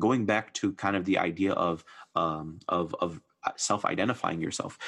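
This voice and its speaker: Against a quiet background, a man with an American accent speaks with a very deep, low pitch. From US Midwest. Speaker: preacher and nonprofit mental health worker. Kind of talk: casual religious discussion.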